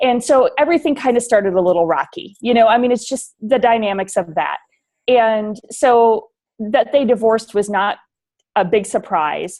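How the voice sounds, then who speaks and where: A woman with an American accent speaks at a fairly high pitch and a moderate pace. Her intonation is lively and the background is quiet. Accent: slight northern Midwest, coming back. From US Midwest, rural northern Wisconsin. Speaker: leadership consultant. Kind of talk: interview.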